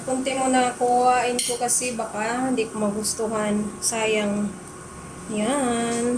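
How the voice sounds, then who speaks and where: Through noticeable background noise and audible room echo, a woman speaks very slowly in a fairly high, flat monotone. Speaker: vlogger. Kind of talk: casual vlog talk. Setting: at home.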